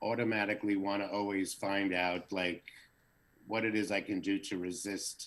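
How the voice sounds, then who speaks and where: A man with an American accent, fairly low in pitch, monotone and flat in intonation, at a moderate pace with very even loudness. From US East Coast, New Jersey. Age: 60s. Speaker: social media creator. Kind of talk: casual interview.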